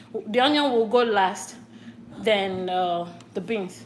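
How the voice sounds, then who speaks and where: Speech at a fairly slow pace with ordinary pitch variation comes through audible room echo and noticeable background noise. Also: woman. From Nigeria, Akwa Ibom. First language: local Nigerian language. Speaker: cooking vlogger. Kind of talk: cooking tutorial. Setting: home kitchen. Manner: halting.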